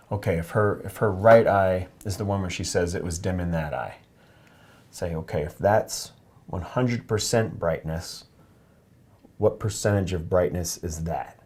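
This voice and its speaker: Soft-spoken and calm, a man talks in a very deep, low, somewhat breathy voice with ordinary pitch variation. His pace is moderate, broken by long, frequent pauses. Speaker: oculofacial plastic surgeon demonstrating an exam. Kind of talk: medical teaching demonstration to a patient. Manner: soft-spoken, calm, explanatory.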